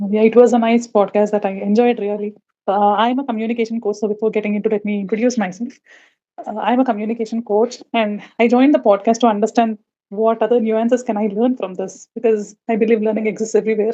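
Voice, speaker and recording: Spoken very fast in a South Indian accent, the voice has a dark, mellow tone and a flat, monotone delivery. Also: woman, fairly high pitch for a woman. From India, Visakhapatnam. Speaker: communication coach, audience participant. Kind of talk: casual chat. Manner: fluent.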